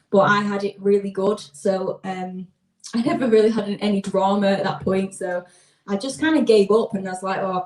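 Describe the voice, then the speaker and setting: A woman with a Lancashire accent talks with ordinary pitch variation. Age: 20s. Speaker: singer. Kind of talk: casual chat. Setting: live stream.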